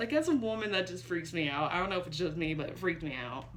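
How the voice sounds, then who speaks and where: Fairly low female speech with audible echo from the room. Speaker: movie reviewer. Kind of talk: casual video review. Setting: home bedroom.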